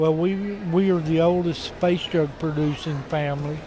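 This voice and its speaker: A man with a Southern US accent speaks fairly slowly at a fairly high pitch in a monotone, flat intonation, with music in the background and audible room echo. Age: 70s. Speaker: potter. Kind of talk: casual interview. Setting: pottery festival booth.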